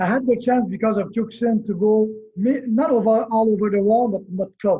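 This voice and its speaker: A man speaks with a Quebec accent in a high pitch. His intonation stays fairly even. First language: French. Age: 50s. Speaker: karate instructor. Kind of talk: interview.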